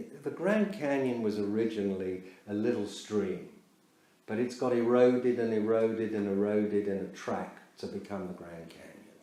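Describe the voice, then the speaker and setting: Loudness swings widely as a man with a fairly low pitch talks at a moderate pace with fairly even intonation, and the room echo is audible. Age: 70s. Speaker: yoga and meditation teacher. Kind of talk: lecture. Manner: halting.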